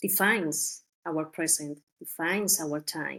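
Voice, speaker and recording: Very slow speech from a woman with a Spanish accent, fairly even in intonation, on a very clean recording with a silent background. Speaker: journalist. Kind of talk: interview. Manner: halting.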